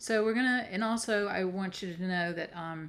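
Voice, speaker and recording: A woman with a Southern US accent, fairly even intonation, at a moderate pace. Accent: Southern American. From US South, South Carolina. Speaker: coach and healer, presenter. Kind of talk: online workshop presentation. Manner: casual, with frequent fillers.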